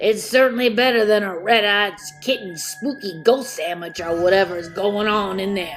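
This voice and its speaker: A female-sounding, put-on character voice comes through over clear background noise. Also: medium pitch for a woman, moderate pace. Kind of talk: comedic spooky storytelling. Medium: read story. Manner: casual, chatty.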